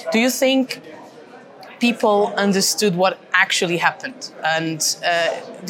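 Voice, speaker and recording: Noticeable background noise behind a woman with a Portuguese accent, medium pitch and a fairly slow pace. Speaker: podcast host, member of European Parliament. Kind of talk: interview. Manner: halting.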